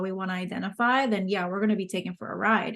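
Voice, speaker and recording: Quiet background, a woman with a Miami accent at a medium pitch, fairly quick pace and fairly even intonation. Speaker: podcast host and business coach. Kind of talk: interview conversation.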